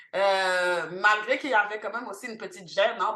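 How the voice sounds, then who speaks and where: Bright and sharp in tone, a woman's voice sits at a medium pitch with ordinary pitch variation. She speaks at a moderate pace. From Montreal, Quebec, with teen years in Haiti. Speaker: cultural centre founder. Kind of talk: podcast interview. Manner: many hesitations (euh).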